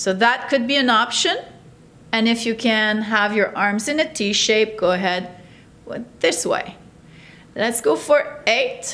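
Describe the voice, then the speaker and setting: Speaking at a fairly slow pace, a woman leaves long, frequent pauses. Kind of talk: exercise class instruction. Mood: calm, encouraging. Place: studio.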